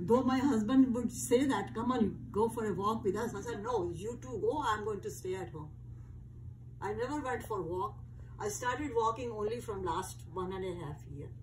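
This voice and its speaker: A woman talks at a moderate pace with big swings in loudness. Room echo is audible. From India. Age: 80s+. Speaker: interviewee. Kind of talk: casual chat.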